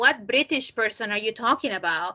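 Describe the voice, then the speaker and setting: A woman with a Spanish accent talks at a fairly quick pace in a bright, sharp tone. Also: quiet background. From Colombia, Cali. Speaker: PhD candidate presenting research. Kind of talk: academic talk Q&A.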